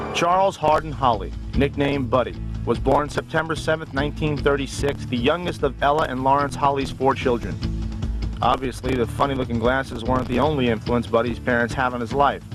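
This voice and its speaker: With music in the background, a man talks at a fairly quick pace and a medium pitch, using ordinary pitch variation. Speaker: TV host and narrator. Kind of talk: TV documentary narration. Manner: hard-boiled, often sarcastic.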